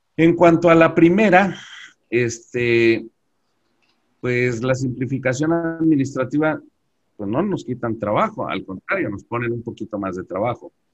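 This man's speech is fairly slow and medium-pitched, with lively intonation and big swings in loudness. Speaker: tax and accounting expert. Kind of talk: webinar presentation. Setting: video call. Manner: halting.

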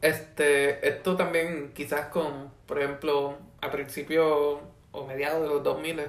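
A man's fairly high voice stays monotone and flat. Audible room echo and noticeable background noise surround him. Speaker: university student. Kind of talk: casual chat.

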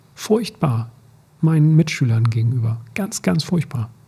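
Somewhat breathy and dark, mellow in tone, a man's medium-pitched voice shows ordinary pitch variation. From rural Germany, grew up on a farm. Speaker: teacher, podcast co-host. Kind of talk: casual chat. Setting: studio, sitting face to face.

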